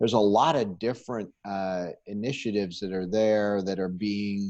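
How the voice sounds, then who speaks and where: Against a quiet background, a man with an American accent and a normal speaking voice talks at a fairly low pitch and moderate pace. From Pittsburgh, US. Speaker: company executive. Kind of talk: interview.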